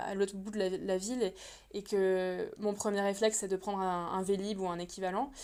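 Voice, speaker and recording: A woman speaks at a medium pitch and a moderate pace with fairly even intonation. The recording is very clean, with a silent background. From France. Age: 30s. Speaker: illustrator and translator. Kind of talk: podcast interview. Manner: hesitant, many fillers.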